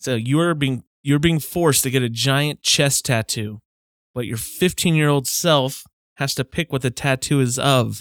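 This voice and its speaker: On a very clean recording with a silent background and a dry, close sound with no echo, a man with an unremarkable speaking voice talks fairly slowly at a fairly high pitch with ordinary pitch variation. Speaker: podcast co-host. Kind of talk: casual banter among friends. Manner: joking, playful.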